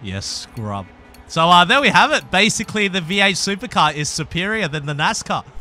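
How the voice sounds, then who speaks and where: A man's high-pitched voice with an Australian accent, at a moderate pace with lively intonation, over music in the background. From Australia (Perth, Western Australia). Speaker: gaming YouTuber. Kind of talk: casual gaming commentary. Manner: animated.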